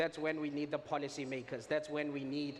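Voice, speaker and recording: In a Botswana accent, a man talks with a fairly high pitch. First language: Setswana. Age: young. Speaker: edtech startup founder. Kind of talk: conference talk.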